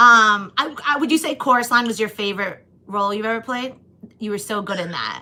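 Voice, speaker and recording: Her pace is fairly quick as a woman speaks. Her pitch is fairly high with ordinary variation. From Long Island, New York. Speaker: comedian and podcast host. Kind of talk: casual chat.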